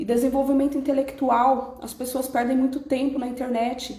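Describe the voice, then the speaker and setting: A woman with a Brazilian accent speaks in a high voice, with audible echo from the room. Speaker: personal development speaker. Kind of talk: live stream talk. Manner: fast.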